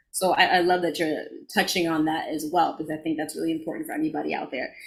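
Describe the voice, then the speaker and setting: Talking at a very fast pace, a woman with a New York accent sounds somewhat breathy. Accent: New York (Bronx) accent noticeable in speech. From the Bronx, New York. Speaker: podcast co-host and actor, life coach. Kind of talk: casual interview chat.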